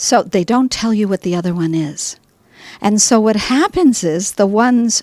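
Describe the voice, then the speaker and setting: With an unremarkable speaking voice, a woman talks at a moderate pace in a fairly high pitch, her intonation lively and the sound dry and close with no echo. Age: 60s. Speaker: health practitioner. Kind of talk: interview.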